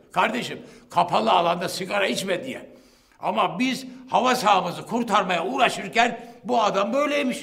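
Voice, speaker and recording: Talking at a moderate pace, a man has a high voice with ordinary pitch variation. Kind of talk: courtroom testimony. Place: hall.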